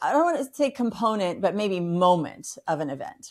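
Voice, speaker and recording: A woman with a normal speaking voice, medium pitch and lively intonation at a moderate pace, in a very clean recording with a silent background. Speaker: podcast host and nonprofit fundraising platform co-founder. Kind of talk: podcast interview host.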